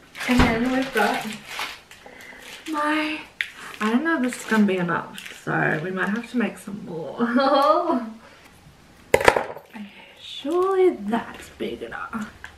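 A woman with a high pitch talks at a very slow pace with very wide pitch swings and long, frequent pauses, all over loud background noise. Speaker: vlogger. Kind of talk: casual vlog narration. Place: kitchen. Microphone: camera far.

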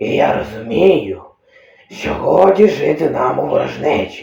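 A put-on character voice from a man, fairly slow in pace, with a slight echo. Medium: audio drama. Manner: bossy, contemptuous.

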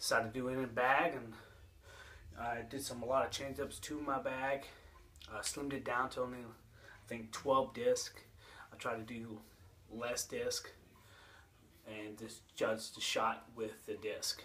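With light background noise, a man speaks at a fairly slow pace, leaving long, frequent pauses. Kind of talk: casual vlog chat. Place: home room. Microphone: phone near.

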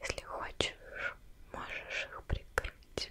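A woman whispers, soft-spoken throughout. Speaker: ASMR creator. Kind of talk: soft ASMR whispering to viewer. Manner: soft slow ASMR whisper. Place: home room. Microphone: studio mic.

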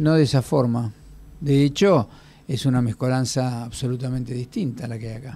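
Somewhat breathy and dark, mellow in tone, a man speaks at a moderate pace with big swings in loudness. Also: ordinary pitch variation. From Argentina. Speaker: radio host. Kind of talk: casual chat. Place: studio. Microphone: studio mic.

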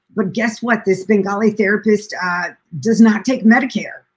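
A woman with an American accent talks at a medium pitch with ordinary pitch variation. Her voice is somewhat breathy. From US Midwest, Springfield, Illinois; Illinois. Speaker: documentary filmmaker and caregiver; guest. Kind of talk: interview conversation. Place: home room. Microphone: echo.

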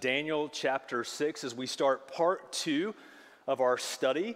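Man's voice, ordinary pitch variation. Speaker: pastor. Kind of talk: sermon. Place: church.

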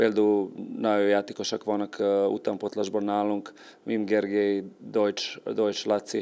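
The delivery keeps a moderate pace with monotone, flat intonation. The tone is dark and mellow. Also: man. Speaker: football coach. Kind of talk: sports interview. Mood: calm, serious. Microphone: handheld.

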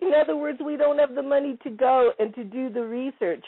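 Her pace is moderate. This woman's voice sits high in pitch. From Italy. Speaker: investigative journalist and ufologist. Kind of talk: panel discussion.

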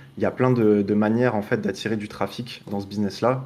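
A man's fairly low-pitched voice with fairly even intonation. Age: 20s. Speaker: online marketing agency owner; podcast guest. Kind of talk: podcast interview. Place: home room. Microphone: webcam.

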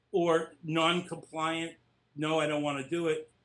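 This man has an American accent. His pitch sits high. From Lowell, Massachusetts; Massachusetts. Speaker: author, former special ed teacher; former special ed teacher. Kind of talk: interview. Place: home room. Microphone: webcam.

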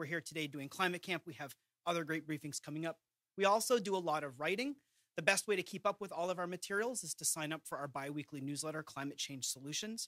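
Very fast and bright, sharp in tone, a man speaks with ordinary pitch variation in a dry sound with no echo against a quiet background. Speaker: presenter. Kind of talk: briefing presentation. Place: hall. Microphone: podium.

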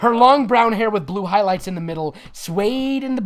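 Lively intonation in a natural voice reading text aloud.

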